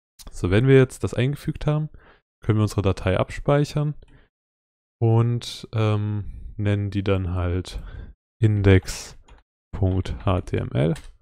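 On a very clean recording with a silent background, a man speaks at a very slow pace. His fairly low voice has a dark, mellow tone and lively intonation. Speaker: coding tutorial YouTuber. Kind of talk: tutorial. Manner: casual, with frequent fillers.

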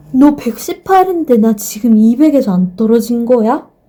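A woman's dark, mellow voice at a fairly slow pace. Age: 30s. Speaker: vlogger. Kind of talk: casual chat. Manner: animated.

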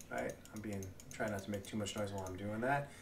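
A man speaks at a fairly low pitch. Light background noise can be heard. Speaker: gamer vlogger. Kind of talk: casual vlog chat. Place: home room.

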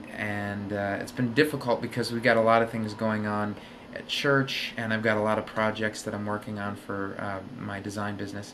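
A man speaks at a moderate pace with a fairly low pitch and fairly even intonation. Noticeable background noise can be heard. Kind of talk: casual vlog chat. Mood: relaxed, slightly self-deprecating. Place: home room. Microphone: webcam.

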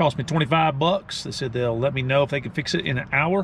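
In a dry sound with no echo, a man speaks over light background noise. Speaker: travel vlogger. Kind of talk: casual vlog chat. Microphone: phone near.

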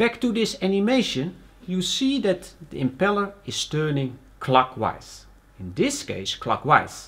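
With very wide pitch swings, a man speaks at a fairly slow pace. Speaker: presenter. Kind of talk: tutorial.

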